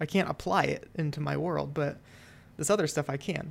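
A woman with a very deep, low pitch and vocal fry speaks at a moderate pace. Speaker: podcast co-host, designer. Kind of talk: casual chat between co-hosts. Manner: casual, filler words, halting.

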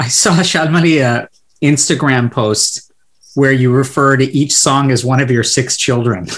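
A man with an American accent has an ordinary speaking voice at a medium pitch. He talks at a moderate pace with ordinary pitch variation and very even loudness. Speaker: podcast host, pediatrician. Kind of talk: interview hosting, podcast intro.

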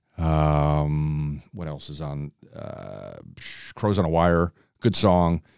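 Here a man is speaking. He has an American accent. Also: dry, close sound with no echo. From Chicago. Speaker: podcast host. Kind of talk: casual chat.

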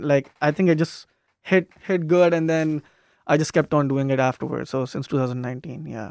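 In a very clean recording with a silent background and a dry, close sound with no echo, a man with a fairly high pitch talks at a fairly quick pace with fairly even intonation. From outside the US. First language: not English. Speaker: student stand-up comedian. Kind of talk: casual chat. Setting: radio studio.

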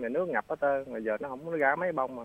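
This man has a medium pitch and a Southern Vietnamese accent. His pitch varies in an ordinary way. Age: 40s. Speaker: caller. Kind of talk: casual chat. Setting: phone call.

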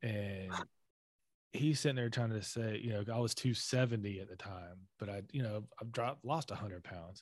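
A man with a plain, everyday voice and an American accent talks at a moderate pace in a fairly low pitch, with ordinary pitch variation, big swings in loudness, and a quiet background. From US South. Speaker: army intelligence veteran. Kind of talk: casual chat.

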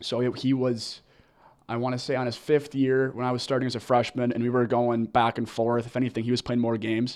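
A man with an American accent, fairly quick and flat in a monotone. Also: medium pitch for a man. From Minnesota (Edina). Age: 20s. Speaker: college hockey team captain. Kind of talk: interview.

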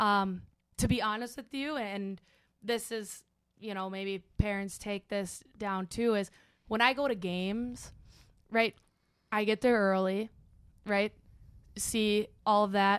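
Over a silent background in a very clean recording, a woman with a medium pitch speaks at a very slow pace, leaving long, frequent pauses. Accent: American. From Minnesota, US (Bloomington). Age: 20s. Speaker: college hockey assistant coach. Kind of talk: casual chat. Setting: studio.

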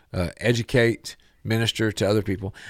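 Dry and close with no echo, this very clean recording with a silent background holds an ordinary speaking voice from a man with a fairly low pitch. He talks at a moderate pace with fairly even intonation. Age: 40s. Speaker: radio host. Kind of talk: radio talk show interview. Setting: studio.

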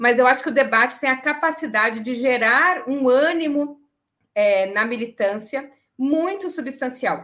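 A woman speaks at a high pitch and a fairly slow pace. Her pitch variation is ordinary. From southern Brazil, Rio Grande do Sul. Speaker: economist. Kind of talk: political panel discussion. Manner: hesitant, many fillers.

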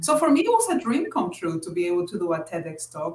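This voice belongs to a woman. It is somewhat breathy and sits at a medium pitch. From Dominican heritage. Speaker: speaker and manager. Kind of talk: interview.

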